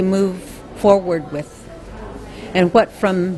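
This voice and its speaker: A woman speaks at a very slow pace in a medium pitch. Noticeable background noise sits behind her. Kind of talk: conference speech.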